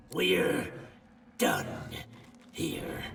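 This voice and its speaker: A man does a raspy, put-on character voice at a very deep, low pitch, with a slight echo. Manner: growling through gritted teeth.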